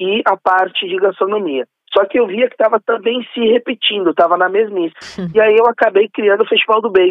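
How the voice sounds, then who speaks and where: Speaking fairly quickly, a man uses a high pitch with ordinary variation. He talks in a São Paulo accent. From São Paulo state, Brazil. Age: 30s. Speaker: event organizer. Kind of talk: interview.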